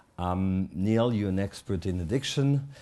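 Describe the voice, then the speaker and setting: Against a quiet background, a man with a French accent and a very deep, low pitch speaks at a moderate pace in a dark, mellow tone. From Switzerland, French-speaking. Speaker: addiction therapist and conference organiser. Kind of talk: panel talk moderation. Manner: hesitant, many fillers.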